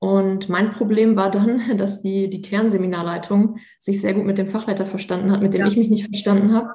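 A woman's medium-pitched, somewhat breathy voice, monotone and flat, at a fairly quick pace with hardly any pauses. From Münster, western Germany. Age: 30s. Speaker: former trainee teacher, Instagram creator. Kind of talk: interview.

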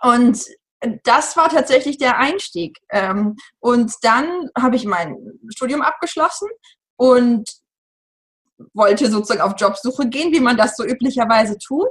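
Lively intonation marks this fairly slow delivery, broken by long, frequent pauses. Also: woman, high pitch for a woman. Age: 30s. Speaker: journalist and author on parenting. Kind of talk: interview.

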